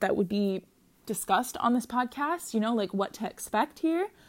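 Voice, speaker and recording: In a very clean recording with a silent background, a woman talks with an American accent. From Minnesota, US Midwest. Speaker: podcast host. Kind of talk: casual solo monologue. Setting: lying in bed at home. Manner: rambling, many fillers and restarts.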